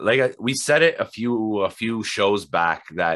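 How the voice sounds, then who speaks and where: At a moderate pace, a man talks with lively intonation and a bright, sharp tone. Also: quiet background. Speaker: podcast host. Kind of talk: casual chat. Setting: video call. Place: home room. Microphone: video call.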